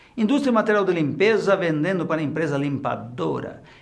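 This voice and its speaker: Audible room echo surrounds a man whose fairly high voice carries vocal fry, lively intonation and a fairly quick pace. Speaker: tax instructor. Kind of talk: lecture.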